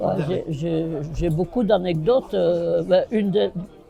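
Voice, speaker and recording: A man with a high pitch speaks at a fairly slow pace. Music plays in the background. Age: 60s. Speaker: bar owner and football supporter. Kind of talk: casual chat.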